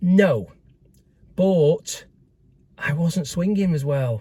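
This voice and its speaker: Very slowly, a man delivers his words. His voice has a dark, mellow tone and is somewhat breathy. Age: 70s. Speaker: amateur golfer vlogger. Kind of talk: casual vlog review. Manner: hesitant, many fillers.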